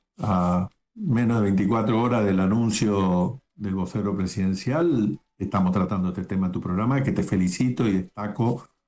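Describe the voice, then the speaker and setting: This is an ordinary speaking voice, a man with a fairly low pitch. He moves at a fairly slow pace with lively intonation. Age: 60s. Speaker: lawyer, political commentator. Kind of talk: interview.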